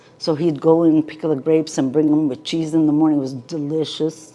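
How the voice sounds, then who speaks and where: This woman's voice is very deep and low, with monotone, flat intonation. Noticeable background noise runs underneath. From Palestine (Ramallah), moved to the US at age ten. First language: Arabic. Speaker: oral history interviewee. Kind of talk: oral history interview.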